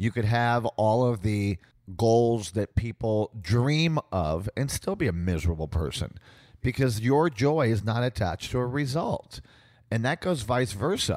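A man's medium-pitched voice with very wide pitch swings at a fairly slow pace, in a very clean recording with a silent background and a dry, close sound with no echo. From Puerto Rico. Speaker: life coach. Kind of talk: interview.

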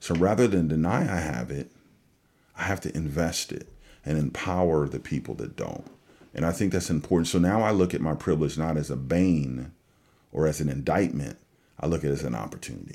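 A man's very deep, low voice in an American accent, dark and mellow in tone, with vocal fry, at a fairly quick pace. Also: ordinary pitch variation. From California. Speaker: pastor. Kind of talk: casual chat. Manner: halting.

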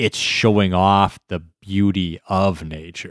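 In a very clean recording with a silent background and a dry, close sound with no echo, a man speaks very slowly at a fairly low pitch. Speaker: podcast co-host. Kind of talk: casual chat.

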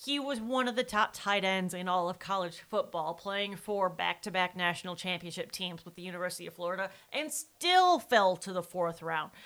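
In an American accent, a woman with a plain, everyday voice of medium pitch speaks at a moderate pace with hardly any pauses, ordinary pitch variation and big swings in loudness. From Wisconsin. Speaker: true crime podcast co-host. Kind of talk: casual chat.

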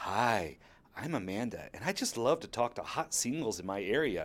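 With an American accent, a man talks in an ordinary speaking voice at a moderate pace with lively intonation, recorded very cleanly against a silent background. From US South. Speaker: personal essayist. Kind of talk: reading aloud a personal essay.

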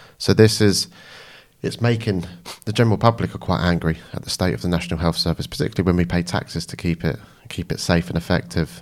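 On a very clean recording with a silent background, a man talks at a very fast pace in a very deep, low pitch, with vocal fry and lively intonation. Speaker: mental health nurse, activist. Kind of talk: interview conversation. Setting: studio.

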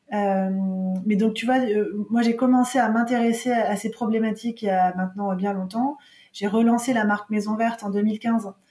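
A woman talks at a moderate pace with fairly even intonation. There is noticeable background noise. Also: fairly high pitch for a woman. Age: 40s. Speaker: marketing entrepreneur. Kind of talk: interview.

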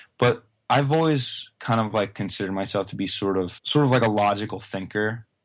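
Over a quiet background, a man talks at a fairly quick pace. His pitch is fairly low. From US Northeast. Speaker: rock musician. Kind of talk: casual chat. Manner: dry, deadpan humor.

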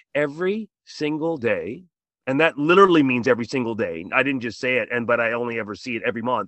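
With a Canadian accent, a man talks at a fairly quick pace with lively intonation. He has an unremarkable speaking voice at medium pitch. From Canada, Toronto. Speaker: middle school teacher, podcast host. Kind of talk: podcast interview.

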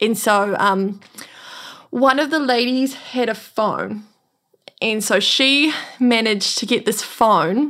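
A woman's fairly high voice with a New Zealand accent, very slow pace and ordinary pitch variation. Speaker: earthquake survivor. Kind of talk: interview.

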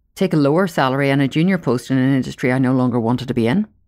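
The speech comes at a very fast pace. It carries an Irish accent. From Ireland. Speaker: podcast host, career coach. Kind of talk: solo podcast monologue.

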